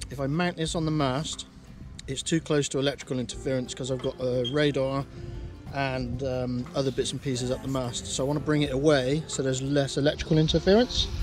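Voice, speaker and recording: Clear music sits in the background as a man speaks at a fairly quick pace. His intonation is fairly even, and the sound is dry with no echo. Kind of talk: explanatory DIY talk. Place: boat. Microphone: phone near.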